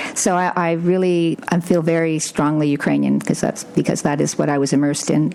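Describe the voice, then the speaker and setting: A woman with a very deep, low voice and a Canadian accent, plus noticeable background noise. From Sudbury, Northern Ontario, Canada. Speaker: dog breeder and former lab scientist. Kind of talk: interview. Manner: conversational with hesitations.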